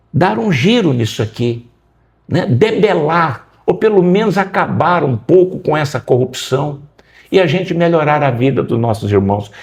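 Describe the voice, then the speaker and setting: Somewhat breathy, a man with a fairly high pitch speaks with very wide pitch swings. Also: fairly slow pace. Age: 60s. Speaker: political candidate. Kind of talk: interview.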